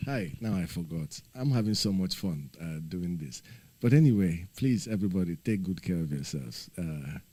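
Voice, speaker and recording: Lively intonation marks a man's very deep, low voice with a dark, mellow tone. He keeps a moderate pace. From Nigeria. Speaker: livestreamer. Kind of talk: casual livestream chat.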